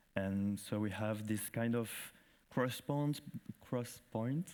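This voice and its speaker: A medium-pitched man's voice with a French accent. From France. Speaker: festival director. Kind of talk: conference presentation. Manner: halting.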